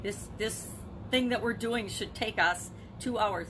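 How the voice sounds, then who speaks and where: A woman's voice over noticeable background noise. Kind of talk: motivational monologue. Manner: fast.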